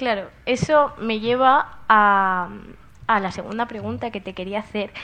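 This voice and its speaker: Against a quiet background, a woman speaks in an ordinary speaking voice, fairly high in pitch and fairly slow, with ordinary pitch variation. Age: 20s. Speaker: psychology student. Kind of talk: interview questions.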